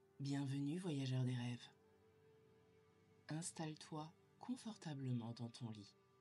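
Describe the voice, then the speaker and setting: With music in the background, a woman speaks in a calm tone at a very deep, low pitch, with ordinary pitch variation, a very slow pace and long, frequent pauses. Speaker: sophrologist. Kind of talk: guided sleep meditation. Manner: slow, calm.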